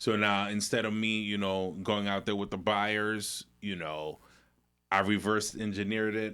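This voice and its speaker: In a very clean recording with a silent background, a man speaks at a fairly low pitch with a slight Caribbean accent. His delivery is fairly slow and flat, in a monotone. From New York, raised in New Jersey. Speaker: real estate broker and mortgage lender. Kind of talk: podcast interview.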